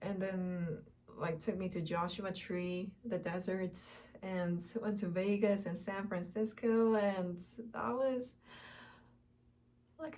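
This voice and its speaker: A woman's somewhat breathy, dark, mellow voice in a Korean accent, at medium pitch with ordinary pitch variation, very slow pace and long, frequent pauses, with audible room echo. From South Korea. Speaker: Korean language teacher and vlogger. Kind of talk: casual personal vlog. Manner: halting, many fillers.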